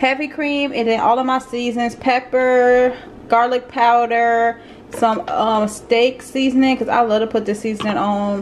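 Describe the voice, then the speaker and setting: Over light background noise, a woman with a high pitch speaks at a fairly slow pace with fairly even intonation. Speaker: home cook vlogger. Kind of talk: casual vlog chat. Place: kitchen. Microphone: phone near.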